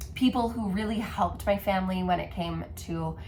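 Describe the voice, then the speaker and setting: Room echo is audible while the talking proceeds at a moderate speed. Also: woman. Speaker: knitting podcaster. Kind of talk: casual chat.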